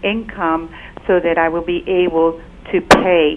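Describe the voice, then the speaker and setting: A woman speaks at a fairly slow pace and a medium pitch. Noticeable background noise can be heard. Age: 60s. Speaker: caller. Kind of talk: call-in question. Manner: halting.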